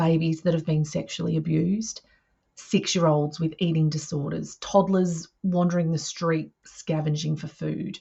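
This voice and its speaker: A woman's somewhat breathy voice, fairly low in pitch, monotone and flat, at a moderate pace. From Australia. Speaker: early childhood mental health educator. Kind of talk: professional development webinar presentation.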